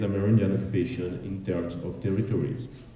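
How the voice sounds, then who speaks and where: Fairly quick, somewhat breathy speech from a man with a French accent and ordinary pitch variation. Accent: French accent, self-described as ugly. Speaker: archaeologist. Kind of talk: conference presentation. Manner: fast, hurried.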